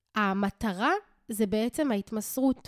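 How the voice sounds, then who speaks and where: On a very clean recording with a silent background and a dry, close sound with no echo, a woman speaks in an animated tone at a fairly high pitch. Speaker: spiritual coach and podcast host. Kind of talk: casual solo monologue.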